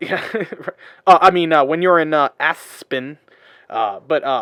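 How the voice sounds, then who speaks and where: An unremarkable speaking voice, a man's fairly high pitch and American accent come at a fairly slow pace with lively intonation. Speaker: podcast host. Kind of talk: casual podcast conversation.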